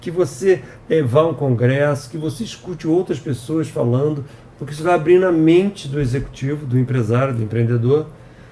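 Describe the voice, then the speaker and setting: There is noticeable background noise as a man speaks at a moderate pace. His pitch is fairly high, with ordinary variation. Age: 60s. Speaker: software company president. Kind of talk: podcast interview. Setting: office.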